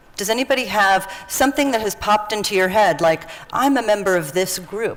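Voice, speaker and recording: The speaker talks at a fairly quick pace with lively intonation over noticeable background noise. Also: woman, medium pitch for a woman. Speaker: workshop facilitator. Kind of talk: interactive workshop session.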